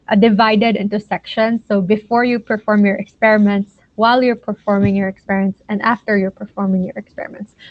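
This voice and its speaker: A woman speaks with a fairly high pitch in a Filipino accent. Her intonation is fairly even. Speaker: science mentor / lecturer. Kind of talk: lecture. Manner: hesitant with many fillers.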